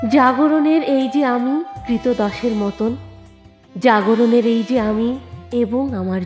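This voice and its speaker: Over music in the background, a woman talks in a fairly high voice. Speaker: reciter. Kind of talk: poetry reading.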